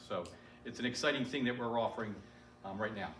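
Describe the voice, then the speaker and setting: Fairly even intonation marks this man's speech, heard with audible room echo and noticeable background noise. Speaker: IT manager. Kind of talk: community meeting presentation. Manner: loud. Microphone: speaking without a microphone.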